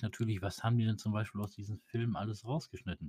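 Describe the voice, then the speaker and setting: At a fairly quick pace, a man with a fairly low pitch and a somewhat breathy voice talks with fairly even intonation. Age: 40s. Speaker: GTA roleplay gamer. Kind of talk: casual chat.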